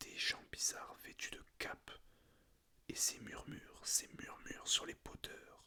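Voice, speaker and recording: Someone whispers at a very slow pace. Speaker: ASMR creator. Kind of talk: reading aloud. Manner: whispering.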